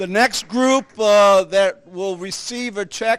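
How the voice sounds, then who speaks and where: This loud voice moves at a very slow pace with fairly even intonation. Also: man. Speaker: Lions Club member presenting charity checks. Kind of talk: public speech at charity event.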